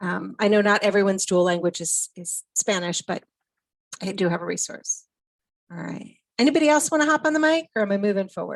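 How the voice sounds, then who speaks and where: A woman with an American accent speaks at a medium pitch and a fairly quick pace. Her intonation is lively, and the sound is dry and close with no echo. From Minnesota. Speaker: education specialist, presenter. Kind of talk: online presentation.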